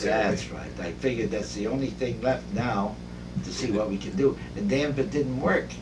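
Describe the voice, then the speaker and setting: The clip moves at a moderate pace against noticeable background noise. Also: man. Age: 80s+. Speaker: dermatologist. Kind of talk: interview answer. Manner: casual, salty.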